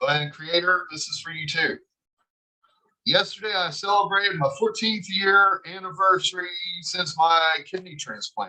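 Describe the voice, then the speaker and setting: A man with a high pitch uses a raised, projected voice that has a bright, sharp tone and ordinary pitch variation. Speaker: cast member on a video call. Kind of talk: casual chat.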